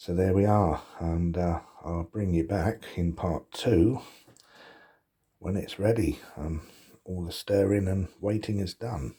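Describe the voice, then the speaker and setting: Soft-spoken and somewhat breathy, a man speaks at a very slow pace with long, frequent pauses, a very deep, low pitch, a dark, mellow tone and ordinary pitch variation. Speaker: cooking vlogger. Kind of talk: casual cooking tutorial. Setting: at home, windows open. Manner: quiet, talking softly; hesitant, many fillers.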